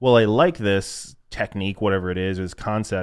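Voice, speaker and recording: A man with an unremarkable speaking voice, fairly low in pitch, at a moderate pace with fairly even intonation. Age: 20s. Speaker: grappling podcast co-host. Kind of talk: casual chat. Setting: studio.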